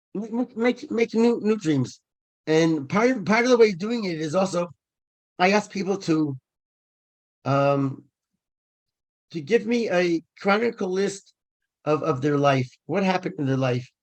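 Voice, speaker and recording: A man speaks at a high pitch with lively intonation. His pace is fairly slow, broken by long, frequent pauses. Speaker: event speaker. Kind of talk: talk to online audience. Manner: halting, many repetitions.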